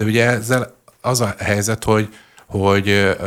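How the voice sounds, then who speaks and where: A man's fairly slow, monotone delivery with flat intonation. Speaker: editor-in-chief, political commentator. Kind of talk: casual panel discussion.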